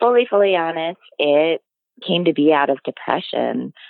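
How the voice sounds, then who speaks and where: A woman's fairly low voice with a Midwestern US accent. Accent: US Midwest. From Illinois. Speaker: dairy farmer. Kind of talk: casual interview.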